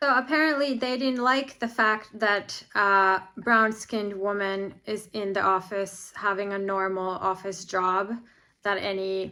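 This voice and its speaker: Speaking at a fairly slow pace, a woman with a Finnish accent has a medium pitch and ordinary pitch variation. Her tone is bright and sharp. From Finland. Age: 40s. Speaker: vlogger. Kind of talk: personal monologue vlog.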